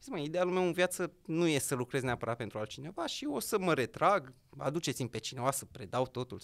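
A man talks at a very fast pace. His fairly high voice has lively intonation. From Romania, Gorj county; Romania. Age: young. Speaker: entrepreneur and local politician; guest. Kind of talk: interview. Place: studio. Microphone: studio mic.

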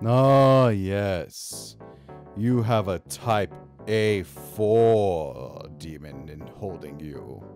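Over clear background music, a man does a put-on character voice, speaking very slowly at a fairly low pitch. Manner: slow, formal, mysterious.

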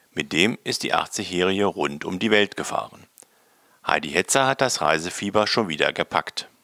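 A man's bright, sharp voice carries lively intonation at a moderate pace, the sound dry and close with no echo. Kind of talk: local news narration.

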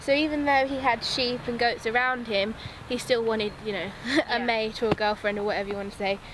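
A woman at a very fast pace, with fairly even intonation, a dry, echo-free sound and noticeable background noise. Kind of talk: interview answer. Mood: warm, fond. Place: farm machine.

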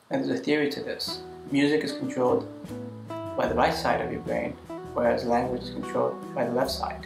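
Long, frequent pauses break up a fairly quick pace amid noticeable background noise. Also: man. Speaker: video blogger. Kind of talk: casual talk to camera. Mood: earnest, reflective. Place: home room.

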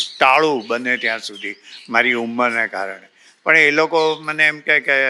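Bright, sharp male tone, its pitch varying in an ordinary way. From India, Mumbai (Gujarati family from Bhavnagar). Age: 80s+. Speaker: retiree. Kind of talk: interview.

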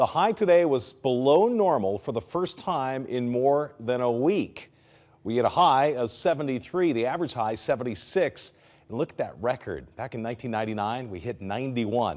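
A man talks with an American accent and lively intonation. His pace is fairly slow, and the background is quiet. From Southern California. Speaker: TV meteorologist. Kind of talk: TV weather forecast. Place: studio.

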